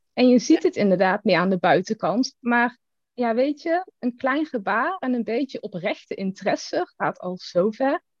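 A woman's high-pitched voice at a moderate pace, very wide pitch swings, dry, close sound with no echo. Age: 30s. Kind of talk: casual chat.

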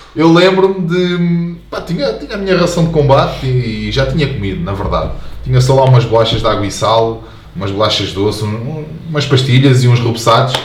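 Over noticeable background noise and audible room echo, a man with a medium-pitched voice talks at a fairly quick pace. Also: lively intonation. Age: 20s. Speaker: soldier. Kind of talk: casual chat.

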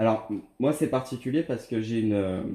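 At a fairly quick pace, a man talks at a medium pitch in a dark, mellow tone. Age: 30s. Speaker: former triathlete. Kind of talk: interview. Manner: halting.

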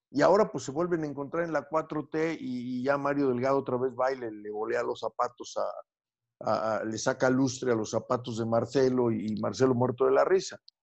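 This man has an unremarkable speaking voice, medium in pitch with ordinary pitch variation, moving at a moderate pace with hardly any pauses. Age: 50s. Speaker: psychoanalyst and radio show host. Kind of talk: interview.

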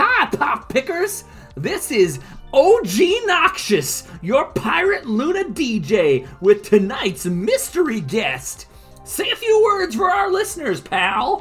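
Over clear background music, a put-on character voice speaks in a high pitch at a very slow pace. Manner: goofy, hyped radio host.

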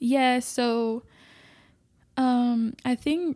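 This woman has a fairly high pitch, a dark, mellow tone and a Spanish accent, and her intonation is monotone and flat. The recording is very clean with a silent background, and the sound is dry and close with no echo. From Mexico, border city near Laredo. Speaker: ministry worker. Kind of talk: interview.

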